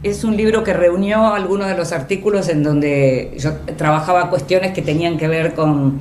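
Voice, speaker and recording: A woman talks at a moderate pace over noticeable background noise, with audible room echo. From Argentina. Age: 60s. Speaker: journalist and writer. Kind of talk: radio interview.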